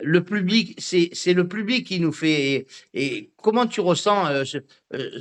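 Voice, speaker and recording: A man at a very slow pace and high pitch, with lively intonation and a quiet background. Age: 60s. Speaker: radio host. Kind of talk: radio interview. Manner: halting.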